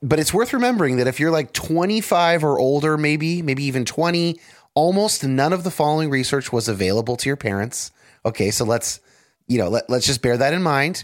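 In a very clean recording with a silent background, a plain, everyday voice talks at a fairly quick pace with lively intonation and very even loudness. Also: man, fairly high pitch for a man. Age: 30s. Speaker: podcast host. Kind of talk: casual chat.

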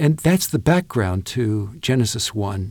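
A man's somewhat breathy voice with very wide pitch swings. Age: 70s. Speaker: pastor and author. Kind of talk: interview.

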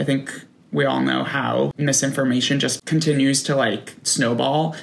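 A man with an American accent, vocal fry and a fairly slow pace. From New York, outside Manhattan. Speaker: marketer and brand founder. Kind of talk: casual chat.

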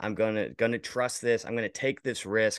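Against a quiet background, a man speaks at a medium pitch with an American accent. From rural Virginia, US. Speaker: creative director and video editor. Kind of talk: casual interview chat.

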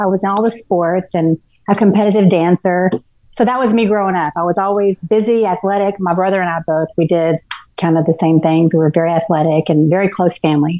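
A dark, mellow tone at a fairly quick pace. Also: woman, medium pitch for a woman, fairly even intonation. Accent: Texan. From Texas, Garland near Dallas. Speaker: ultrarunner, recovered addict. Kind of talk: interview, personal life story. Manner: halting, many fillers and restarts.

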